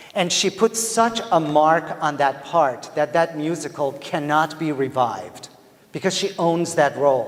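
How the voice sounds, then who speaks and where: With a Persian accent, a man talks at a fairly high pitch and a fairly slow pace. His pitch variation is ordinary, and noticeable noise fills the background. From Iran. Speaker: theatre professor. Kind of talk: lecture. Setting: stage with audience. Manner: animated.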